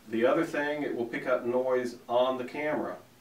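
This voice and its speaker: A man at a fairly slow pace with fairly even intonation, amid audible room echo. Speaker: audio engineer instructor. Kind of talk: tutorial. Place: home room.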